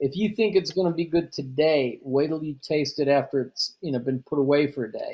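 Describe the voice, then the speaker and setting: A man talks at a fairly quick pace, his pitch fairly high. He hardly pauses at all. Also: ordinary pitch variation. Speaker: chef and registered dietitian. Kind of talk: interview. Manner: halting, repeats words.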